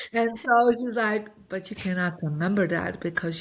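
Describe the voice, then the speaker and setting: A woman at a moderate pace, an ordinary speaking voice with ordinary pitch variation. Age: 60s. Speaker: feng shui master and spiritual teacher. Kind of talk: podcast interview, personal story. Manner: conversational with many fillers.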